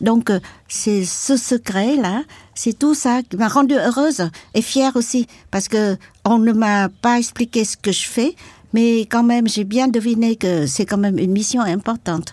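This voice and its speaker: A woman talks at a fairly slow pace with a fairly high pitch. Her voice is somewhat breathy. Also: ordinary pitch variation, very clean recording, silent background. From Vietnam, Mekong delta and Saigon. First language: Vietnamese (learned French early) (speaking French). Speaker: activist, former journalist and war veteran. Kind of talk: testimony. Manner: halting.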